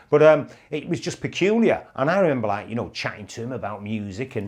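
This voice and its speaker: A man in a Mancunian accent with lively intonation at a fairly quick pace, over a quiet background. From Manchester, England. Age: 60s. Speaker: broadcaster and YouTube host. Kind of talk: reminiscing monologue.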